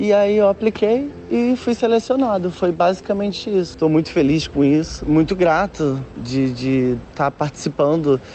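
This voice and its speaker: A man speaks at a fairly slow pace. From Brazil, Nilópolis, Baixada Fluminense. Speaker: photographer. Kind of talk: interview. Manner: halting, repetitions.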